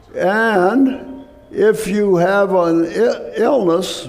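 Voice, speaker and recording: This is a man's voice. There is noticeable background noise behind him. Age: 80s+. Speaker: physician and health lecturer. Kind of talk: health talk to church audience.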